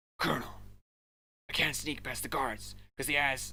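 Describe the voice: In a raspy put-on character voice, the speaker moves at a fairly quick pace.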